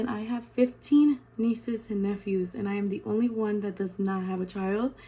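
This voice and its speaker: Noticeable background noise sits behind a woman speaking at a moderate pace. Her pitch is fairly high, with ordinary variation. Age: 20s. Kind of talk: casual talk to camera. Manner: chatty, casual.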